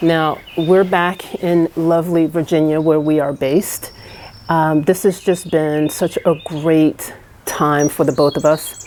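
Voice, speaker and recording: Fairly slow delivery with fairly even intonation. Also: woman. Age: 50s. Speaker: travel vlogger. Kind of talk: casual vlog monologue. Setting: indoors on a rainy evening. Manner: hesitant with many fillers.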